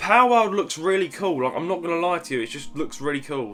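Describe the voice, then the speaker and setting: Over background music, a man speaks very fast with very wide pitch swings. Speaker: gaming YouTuber and streamer. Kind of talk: casual Q&A talk to camera.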